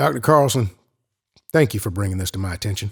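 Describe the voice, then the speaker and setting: A man's raspy put-on character voice, fairly low-pitched, very fast, with lively intonation, on a very clean recording with a silent background. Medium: audio drama. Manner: terse, commanding.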